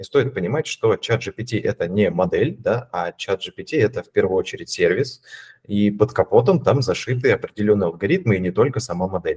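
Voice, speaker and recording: A man's voice at a moderate pace, dry and close with no echo. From Russia, Voronezh. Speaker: data scientist, AI team lead. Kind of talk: casual interview.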